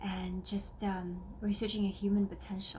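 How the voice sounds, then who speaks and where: The speaker talks at a fairly slow pace in a Russian accent, with audible room echo. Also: woman. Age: 30s. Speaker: wellness vlogger. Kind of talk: personal vlog talk. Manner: halting, many fillers.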